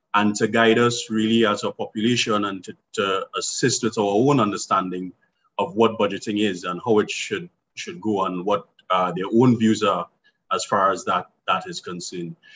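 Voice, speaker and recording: At a moderate pace, a man uses an ordinary speaking voice, fairly low in pitch with ordinary pitch variation, over light background noise. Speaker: forum moderator. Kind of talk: event introduction. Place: home room. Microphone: video call.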